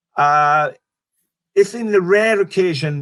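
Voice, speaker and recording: A man speaks with a Welsh accent and lively intonation. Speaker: stand-up comedian. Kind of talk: interview. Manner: halting.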